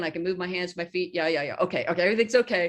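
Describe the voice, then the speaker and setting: This woman has a normal speaking voice at a medium pitch. Her pitch varies in an ordinary way. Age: 60s. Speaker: horse trainer. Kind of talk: casual chat.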